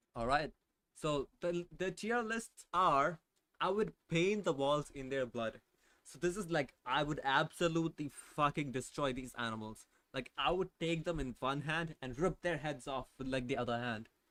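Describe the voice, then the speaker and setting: This speaker has a non-native accent and a bright, sharp tone. The pace is moderate and the intonation lively. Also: man, fairly high pitch for a man. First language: not English. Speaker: vtuber streamer. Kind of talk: casual live stream chat. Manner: animated, emphatic; halting, filler-heavy.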